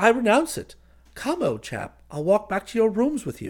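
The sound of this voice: Using a put-on character voice, a man speaks at a high pitch with very wide pitch swings. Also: moderate pace.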